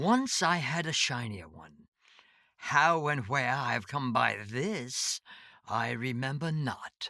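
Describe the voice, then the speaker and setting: The speaker puts on a character voice pitched in the low-to-middle range. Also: fairly slow pace. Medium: read story. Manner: terse, cryptic.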